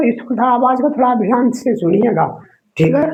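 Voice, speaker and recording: Against audible room echo, a man with an extremely high pitch speaks at a fairly slow pace with ordinary pitch variation. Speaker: exam coaching teacher. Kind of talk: tutorial. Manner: casual, repetitive filler words.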